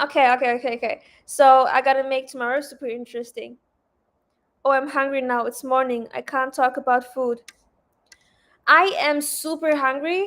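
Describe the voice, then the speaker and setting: A loud woman at a high pitch and moderate pace, in a very clean recording with a silent background. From Lebanon. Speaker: trading livestreamer. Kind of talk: casual livestream chat. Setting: hotel room.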